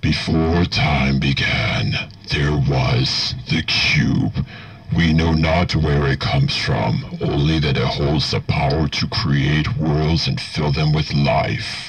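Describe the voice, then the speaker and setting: Putting on a character voice, a man speaks at a very slow pace with a very deep, low pitch. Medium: tutorial demo. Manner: slow, solemn.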